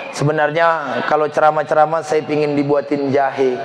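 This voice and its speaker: Moderate pace from a man amid noticeable background noise. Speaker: Islamic preacher. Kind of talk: sermon. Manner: animated.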